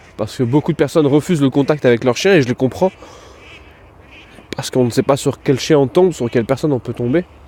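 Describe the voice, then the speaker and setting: With long, frequent pauses, a man speaks at a very fast pace in a dry, close sound with no echo, over noticeable background noise. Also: medium pitch for a man, ordinary pitch variation. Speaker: dog trainer and podcast host. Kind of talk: casual podcast monologue. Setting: outdoors walking the dog in town.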